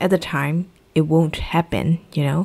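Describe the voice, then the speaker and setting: Speaking at a fairly slow pace, a woman has a fairly low pitch and a dark, mellow tone on a very clean recording with a silent background. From Myanmar. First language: Burmese. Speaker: English teacher. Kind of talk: tutorial.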